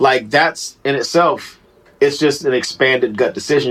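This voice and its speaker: A man is speaking at a moderate pace. His voice sits fairly high in pitch. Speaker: rapper, DJ and comedian. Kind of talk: casual podcast interview. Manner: halting, many restarts and fillers.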